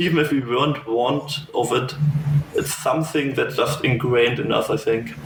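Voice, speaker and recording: A man speaks with a German accent and fairly even intonation. Noticeable background noise and audible room echo surround his voice. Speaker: fireplay educator. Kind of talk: interview. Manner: lyrical; halting.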